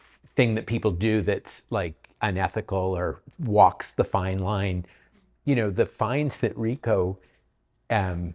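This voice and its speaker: A man speaks very slowly at a fairly low pitch, with ordinary pitch variation and a Canadian accent. The sound is dry and close with no echo, over a quiet background. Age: 60s. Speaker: real estate agent. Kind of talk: panel discussion. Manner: halting, many repeats.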